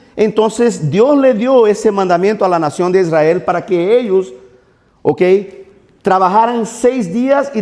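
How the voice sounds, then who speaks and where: His tone dark and mellow, a man talks at a fairly slow pace with lively intonation and long, frequent pauses. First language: Portuguese (speaking Spanish). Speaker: pastor. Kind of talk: sermon.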